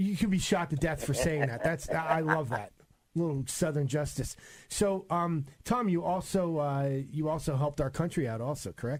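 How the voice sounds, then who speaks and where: Speaking with a New York accent, a man with a fairly high pitch keeps a moderate pace and ordinary pitch variation. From New York, Long Island. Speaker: radio host. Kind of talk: radio interview. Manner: animated.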